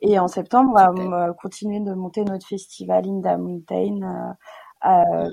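A woman speaks at a fairly slow pace. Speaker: record label founder. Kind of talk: interview. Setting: remote recording.

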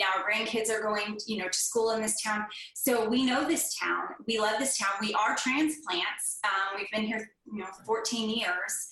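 A woman with an American accent speaks at a fairly high pitch and a fairly slow pace, with hardly any pauses. Noticeable background noise is present. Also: ordinary pitch variation. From Northern California. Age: 40s. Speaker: HVAC business owner. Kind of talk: interview.

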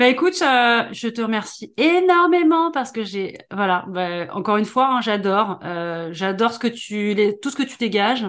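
Her fairly high pitch swings very widely as the woman talks at a moderate pace with hardly any pauses. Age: 40s. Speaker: podcast host and business coach. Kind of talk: interview.

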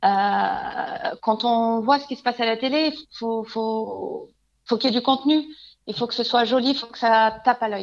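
This woman's high-pitched voice has lively intonation and big swings in loudness. She talks at a fairly slow pace. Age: 30s. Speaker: home stager. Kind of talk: interview. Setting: remote call.

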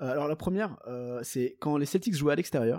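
A man with a fairly high pitch and a dark, mellow tone speaks with lively intonation on a very clean recording with a silent background. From Belgium. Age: 20s. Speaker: podcast co-host. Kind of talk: casual chat. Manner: halting.

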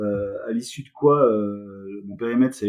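This man's pitch shows ordinary variation. He talks at a moderate speed. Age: 40s. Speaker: corporate learning director. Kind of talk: interview. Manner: halting, many repetitions and fillers.

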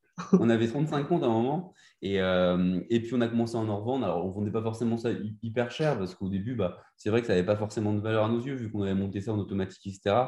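This man speaks at a very fast pace. His medium pitch shows ordinary variation. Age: 20s. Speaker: Instagram entrepreneur. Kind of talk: interview. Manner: halting.

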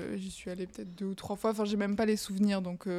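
A woman's very fast, medium-pitched delivery in a flat monotone with a dark, mellow tone. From southwest France, Bayonne. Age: 20s. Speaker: fashion stylist, podcast guest. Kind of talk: testimony interview.

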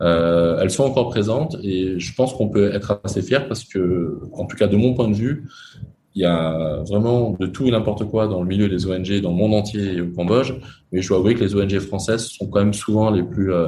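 A man speaks at a moderate pace with a fairly low pitch and a dark, mellow tone. His voice is somewhat breathy, and there is audible echo from the room. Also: ordinary pitch variation. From France. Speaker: entrepreneur. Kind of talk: interview.

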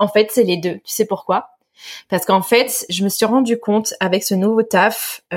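Fairly even intonation, moderate pace, and a normal speaking voice. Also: woman. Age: 30s. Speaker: online business founder. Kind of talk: interview testimony.

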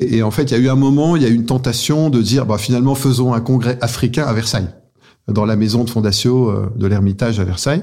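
Very fast and very even in loudness, a man speaks at a medium pitch in a dark, mellow tone. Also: ordinary pitch variation. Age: 50s. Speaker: business executive. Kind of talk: interview. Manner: halting.

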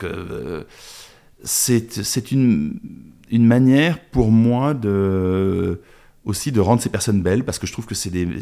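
In a very clean recording with a silent background, a man speaks very slowly at a medium pitch, his tone dark and mellow and his intonation lively. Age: 50s. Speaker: documentary filmmaker. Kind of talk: interview. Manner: halting.

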